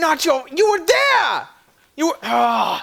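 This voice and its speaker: Shouting in a put-on character voice, a man speaks at an extremely high pitch and a fairly slow pace. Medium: actual play. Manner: aggrieved, complaining.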